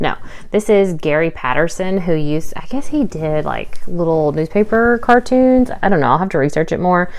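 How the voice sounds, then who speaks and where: Her fairly low voice carries lively intonation as this woman speaks at a moderate pace. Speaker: part-time online reseller, vlogger. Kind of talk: casual haul video talk. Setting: home recording while daughter sleeps. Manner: loud; chatty, filler-heavy.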